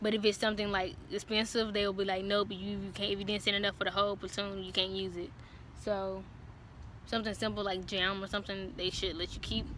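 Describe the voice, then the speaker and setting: A woman's monotone, flat delivery, dry with no echo, over light background noise. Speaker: vlogger giving military training advice. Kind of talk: casual vlog chat. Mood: relaxed, frank, joking. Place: street. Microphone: phone near.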